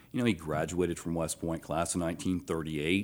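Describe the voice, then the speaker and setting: A man with a Georgia accent is heard on a very clean recording with a silent background. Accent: Southern American (Georgia). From US South, Athens, Georgia. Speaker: retired army officer, veteran. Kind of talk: casual interview. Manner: halting, many fillers.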